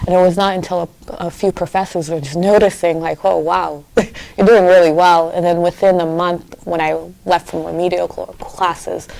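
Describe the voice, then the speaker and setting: A woman with a Haitian accent speaks at a fairly low pitch. Her intonation is monotone and flat, at a moderate pace. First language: Haitian Creole. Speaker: community activist. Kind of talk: interview. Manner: hesitant with fillers and repetitions.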